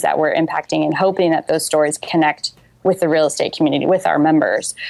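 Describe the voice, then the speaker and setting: A fairly quick delivery with an American accent. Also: woman. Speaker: social entrepreneur. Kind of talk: interview. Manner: casual, many fillers.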